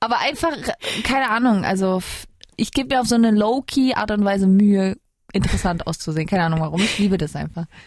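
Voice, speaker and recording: A woman with a medium-pitched voice talks very fast with lively intonation, leaving long, frequent pauses. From Switzerland, Kosovo-Albanian parents. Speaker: singer. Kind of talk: casual interview. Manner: animated.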